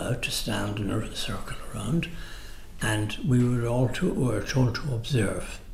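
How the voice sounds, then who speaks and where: Spoken in a Dublin accent with ordinary pitch variation, the voice carries audible room echo over noticeable background noise. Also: man. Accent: Dublin Irish. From Ireland, Dublin. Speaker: retired architect. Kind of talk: oral history interview. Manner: halting.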